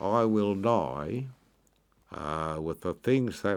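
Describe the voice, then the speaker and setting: In a strong Australian accent, a man with a fairly low pitch speaks at a very slow pace with lively intonation, on a very clean recording over a silent background. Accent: broad Australian. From Australia, Hawkesbury River NSW. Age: 80s+. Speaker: oyster farmer. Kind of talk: interview.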